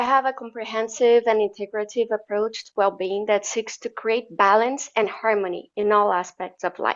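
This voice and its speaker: Here a woman speaks with a Portuguese accent at a fairly high pitch. Her pace is fairly slow. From Brazil. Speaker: wellness coach. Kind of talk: interview.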